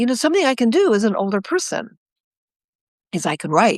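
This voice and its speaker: A woman's voice makes very wide pitch swings. The sound is dry and close with no echo, over a quiet background. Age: 70s. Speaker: animal behaviorist and author. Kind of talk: interview conversation. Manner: repetitive, halting restarts.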